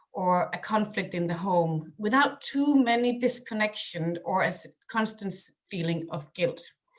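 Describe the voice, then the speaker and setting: A woman speaks with a Danish accent at a medium pitch. Her voice is somewhat breathy, with lively intonation and a moderate pace. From Denmark. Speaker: parenting coach. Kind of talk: webinar presentation; guided breathing exercise. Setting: video call.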